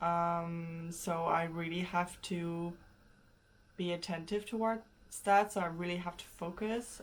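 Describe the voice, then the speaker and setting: The speaker is a woman with a fairly low pitch. Her intonation is fairly even. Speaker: vlogger, language learner. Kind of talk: casual vlog talk. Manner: loud.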